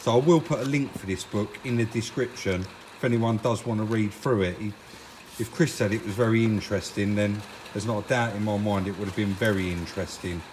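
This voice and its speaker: A man's fairly low voice, with ordinary pitch variation, comes at a fairly quick pace while noticeable background noise plays behind it. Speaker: car restoration youtuber. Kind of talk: casual vlog narration. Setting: in a car. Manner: loud, speaking up over noise.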